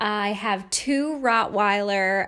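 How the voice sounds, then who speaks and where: A woman with a Northeastern US accent, fairly high pitch and ordinary pitch variation, on a very clean recording with a silent background. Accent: American (Northeast). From New York State. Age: 30s. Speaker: life coach and podcast host. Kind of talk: casual monologue.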